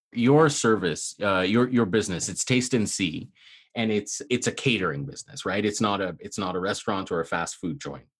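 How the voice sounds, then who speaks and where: Against a quiet background, a man with a Canadian accent speaks in a plain, everyday voice at a fairly low pitch. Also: lively intonation, moderate pace. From Canada. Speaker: podcast host. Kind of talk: casual interview; scripted narration.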